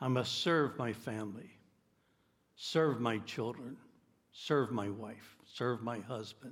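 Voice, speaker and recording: The speech moves at a very slow pace with long, frequent pauses. Pitch varies in an ordinary way. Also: man, medium pitch for a man. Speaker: pastor. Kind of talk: sermon; sermon, preacher in full flow. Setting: church. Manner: earnest, emphatic, fervent preaching.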